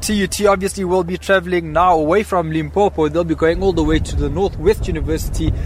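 A man at a very fast pace, hardly any pauses, over noticeable background noise. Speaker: sports podcast host. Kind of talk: casual chat. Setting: windy stadium outdoors.

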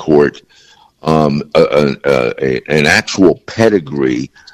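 Vocal fry runs through a voice with lively intonation. The sound is dry and close, with no echo. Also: man. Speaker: former police commissioner. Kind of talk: radio interview.

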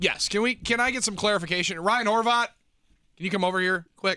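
A man talks at a very fast pace in a raised, projected voice. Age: 20s. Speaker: sports radio host. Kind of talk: casual chat.

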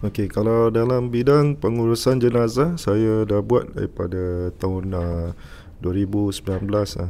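The voice has a dark, mellow tone. It moves at a very slow pace with ordinary pitch variation. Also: man, fairly low pitch for a man. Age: 30s. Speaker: embalmer. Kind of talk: interview.

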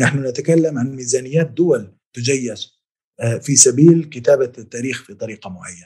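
Somewhat breathy and dark, mellow in tone, a man speaks at a medium pitch and moderate pace with big swings in loudness. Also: ordinary pitch variation. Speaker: historian, professor. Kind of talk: interview.

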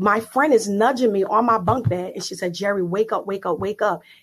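A woman speaks in an unremarkable speaking voice at a medium pitch with ordinary pitch variation. The background is quiet. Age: 30s. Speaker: prophetess and life coach. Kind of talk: interview testimony. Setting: live online audio room.

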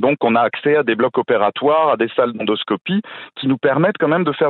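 A man speaks at a very fast pace, his intonation lively. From France, between Paris and Strasbourg. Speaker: gastroenterologist. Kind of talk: radio interview.

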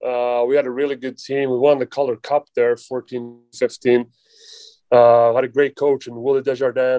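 Speaking with a Swedish accent, a man keeps a medium pitch and a moderate pace. His intonation is monotone and flat. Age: 20s. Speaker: professional hockey player. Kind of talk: casual interview. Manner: halting.

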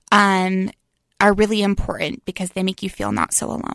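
A woman's medium-pitched, normal speaking voice at a fairly quick pace, dry and close with no echo, over a quiet background. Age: 20s. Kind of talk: interview. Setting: studio.

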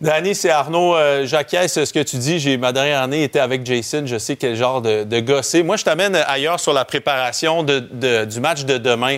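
A man's normal speaking voice, fairly high in pitch, at a moderate pace with hardly any pauses and ordinary pitch variation. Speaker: football analyst. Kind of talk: sports talk.

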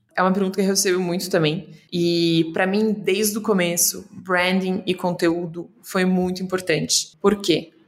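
Her delivery is monotone, with flat intonation and very even loudness, as the woman speaks. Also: medium pitch for a woman, moderate pace. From Brazil, São Paulo and interior of Paraná. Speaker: startup founder. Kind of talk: interview.

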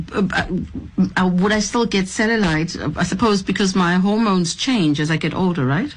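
A moderate pace, ordinary pitch variation and very even loudness, over noticeable background noise. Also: woman, medium pitch for a woman. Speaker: radio host. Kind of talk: radio interview.

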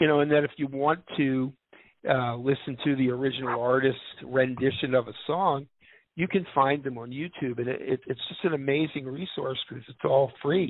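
An unremarkable speaking voice at a moderate pace. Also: man, fairly high pitch for a man, fairly even intonation, big swings in loudness. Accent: American. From US Northeast, Philadelphia. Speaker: musician and music therapy trainer. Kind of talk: casual interview. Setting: live radio show with call-ins.

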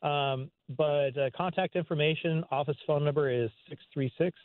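Fairly high in pitch with fairly even intonation, a man talks in a plain, everyday voice. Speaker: doctor, play organizer. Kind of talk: phone interview. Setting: phone call.

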